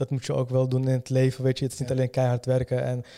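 This is a man's voice with a dark, mellow tone. It sits at a medium pitch. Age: 30s. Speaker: entrepreneur, company founder. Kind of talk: interview. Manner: halting, many fillers and repetitions.

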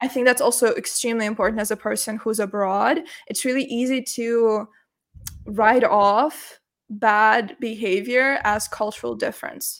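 In a very clean recording with a silent background, a woman with a Russian accent speaks at a fairly high pitch and a moderate pace, with ordinary pitch variation. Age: 20s. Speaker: university student and content creator. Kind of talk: interview. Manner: animated.

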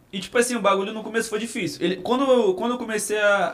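A man speaks at a very fast pace in a Carioca accent. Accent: carioca Brazilian Portuguese. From Rio de Janeiro (Cidade de Deus), born in Minas Gerais. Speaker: comedian and viral internet personality. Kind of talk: casual podcast chat.

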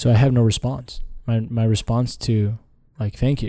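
Recorded very cleanly against a silent background, a man talks in a fairly low, monotone, flat voice that is dark, mellow and somewhat breathy. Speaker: podcast guest. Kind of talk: casual conversation. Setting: studio.

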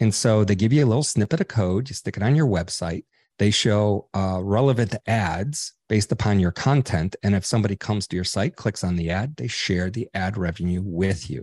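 Recorded with a dry, close sound with no echo against a quiet background, a man with an American accent and a normal speaking voice speaks at a fairly low pitch and a fairly quick pace with ordinary pitch variation. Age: 60s. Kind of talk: interview.

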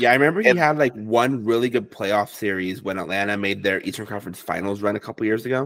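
A man's fairly low voice, very fast, with hardly any pauses and ordinary pitch variation. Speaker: podcast co-host. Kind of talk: casual chat.

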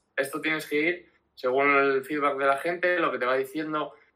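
Speaking in a fairly high pitch, a man keeps a moderate tempo. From Spain, Asturias (Gijón). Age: 20s. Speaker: social media manager for a music festival. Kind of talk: interview on a live stream. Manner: halting, many fillers and repetitions.

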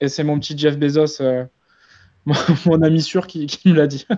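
At a moderate pace, a man speaks in a flat monotone with a fairly high pitch and a dark, mellow tone. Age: 20s. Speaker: influencer marketing agency founder. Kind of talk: webinar presentation. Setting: live stream.

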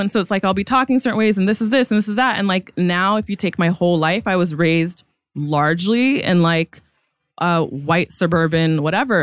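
In an American accent, a woman talks at a very fast pace. The sound is dry and close, with no echo. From San Francisco Bay Area, US. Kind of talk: casual interview conversation.

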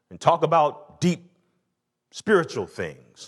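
A man speaks with an Atlanta accent. The background is quiet. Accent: Southern US (Atlanta). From US South, Atlanta. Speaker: pastor. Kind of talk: sermon. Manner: animated.

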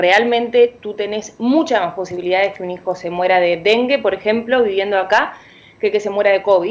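Against noticeable background noise, a woman at medium pitch talks at a fairly quick pace with ordinary pitch variation. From Uruguay. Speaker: parent activist. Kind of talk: radio interview. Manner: animated.

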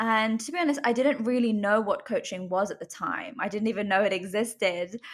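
With a British accent, a woman speaks at a fairly quick pace with hardly any pauses, using a fairly high pitch, ordinary pitch variation and a somewhat breathy sound. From UK. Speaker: life coach. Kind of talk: interview.

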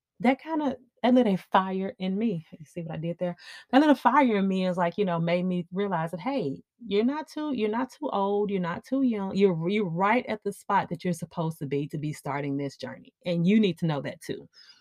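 A woman with an unremarkable speaking voice and a medium pitch talks at a fairly quick pace with lively intonation, in a dry, close sound with no echo against a quiet background. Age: 40s. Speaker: personal finance podcast host. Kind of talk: solo podcast talk. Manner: casual, conversational with filler words.

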